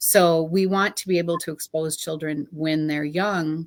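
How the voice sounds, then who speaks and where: With music in the background, a woman speaks in a very deep, low pitch. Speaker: early childhood program director. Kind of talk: interview.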